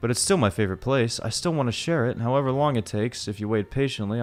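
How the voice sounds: The clip features a natural reading voice. Its pitch moves in an ordinary way.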